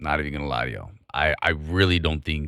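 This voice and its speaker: A man with a very deep, low pitch speaks in a bright, sharp tone with vocal fry and fairly even intonation. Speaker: stock trading streamer. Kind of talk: live market commentary. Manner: casual, conversational.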